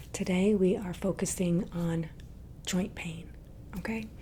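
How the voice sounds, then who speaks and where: A soft-spoken woman talks at a very slow pace in a calm tone. Her pitch is fairly low. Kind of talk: ASMR massage roleplay guiding the listener. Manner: soft-spoken, calm.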